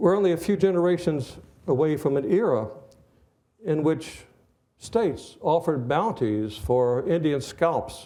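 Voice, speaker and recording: A man with a fairly high, dark and mellow voice speaks at a fairly slow pace with lively intonation. Long, frequent pauses break up his speech, and the room echo is audible. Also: very even loudness. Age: 80s+. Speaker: history lecturer. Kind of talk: lecture.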